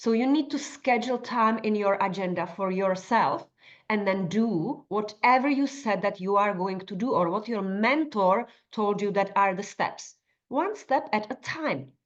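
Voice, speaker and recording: With lively intonation, a woman speaks fairly slowly at a medium pitch. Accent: non-native. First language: not English. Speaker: nutritionist and life coach. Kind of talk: workshop tutorial. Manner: conversational with fillers.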